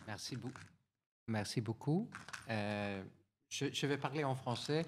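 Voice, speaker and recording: A man with a Swedish accent speaks at a very slow pace. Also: medium pitch for a man, ordinary pitch variation. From Sweden. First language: Swedish (speaking French). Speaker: European Commission official. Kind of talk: conference talk from notes. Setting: conference with audience. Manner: halting, many hesitations.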